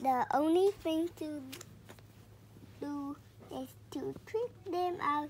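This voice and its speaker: A woman puts on a character voice, pitched high and delivered at a very slow pace with long, frequent pauses. Clear background noise sits behind her. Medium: read story.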